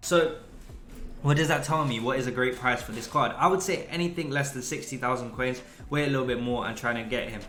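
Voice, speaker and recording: Audible room echo and noticeable background noise surround a man with a medium pitch who speaks at a fairly quick pace in an animated tone with ordinary pitch variation. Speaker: gaming youtuber. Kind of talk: tutorial. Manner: fast.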